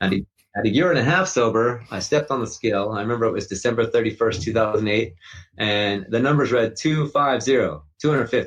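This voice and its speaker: A man's medium-pitched voice moves at a fairly quick pace with ordinary pitch variation. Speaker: recovering addict and endurance athlete. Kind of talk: interview testimony. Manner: fast.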